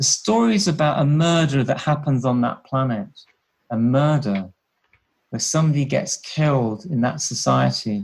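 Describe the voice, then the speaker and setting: Here a man speaks with a British accent at a moderate pace. His medium-pitched voice is somewhat breathy, with ordinary pitch variation. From UK. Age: 60s. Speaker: health researcher and former HIV nurse. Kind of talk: interview.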